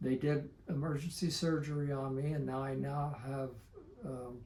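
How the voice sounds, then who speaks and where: At a fairly slow pace, a man speaks with a fairly high pitch, a dark, mellow tone, a somewhat breathy quality and fairly even intonation. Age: 70s. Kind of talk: interview answer.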